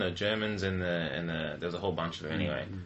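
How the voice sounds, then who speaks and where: A man talks at a very fast pace with an Australian accent. His pitch is very deep and low. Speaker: podcast host, church member. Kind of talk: casual chat about faith. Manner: jokey, laughs often.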